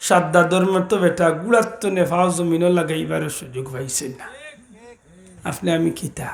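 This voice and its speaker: A man with a Sylheti accent and a high pitch speaks with ordinary pitch variation and big swings in loudness, with audible room echo and noticeable background noise. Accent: Sylheti Bengali. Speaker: Islamic preacher. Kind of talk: sermon.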